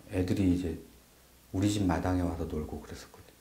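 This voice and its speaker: Somewhat breathy, a man speaks with a dark, mellow tone amid audible room echo. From South Korea, Chungcheongbuk-do (Boeun). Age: middle-aged. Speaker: interviewee recalling childhood. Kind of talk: documentary interview.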